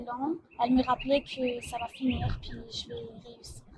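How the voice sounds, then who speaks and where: The speaker has a non-native accent and a very slow pace. The intonation stays monotone and flat. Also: woman. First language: not French (speaking French). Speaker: graduate of online high school. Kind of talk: interview testimony. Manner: hesitant, many fillers.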